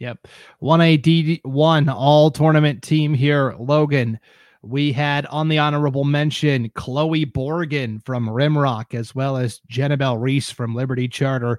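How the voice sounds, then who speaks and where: A man with a fairly high-pitched, unremarkable speaking voice talks at a fairly slow pace with fairly even intonation on a very clean recording with a silent background. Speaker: podcast host. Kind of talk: casual sports podcast discussion. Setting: live-streamed studio broadcast.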